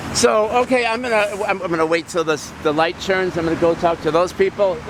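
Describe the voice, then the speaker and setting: A man with a high voice talks at a fairly quick pace, his pitch varying in an ordinary way over noticeable background noise. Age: 60s. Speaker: protest videographer. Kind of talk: street interview. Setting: outdoors. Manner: halting.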